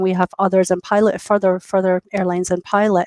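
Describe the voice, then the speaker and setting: A woman with a Scottish accent talks at a fairly quick pace in a dry, close recording with no echo. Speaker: industry interviewee speaking for a travel technology company. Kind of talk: business, professional. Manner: fast talker, animated; frequent hesitations and repeated words.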